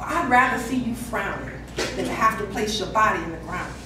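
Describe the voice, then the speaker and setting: A woman's intense tone amid noticeable background noise and audible room echo. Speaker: spoken word poet. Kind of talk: spoken word poetry performance, rhythmic rhyming verse. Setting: slam event, live poetry performance. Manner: emotive, intense, rhythmic and heartfelt; direct, intimate address to 'sister'. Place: hall. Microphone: camera far.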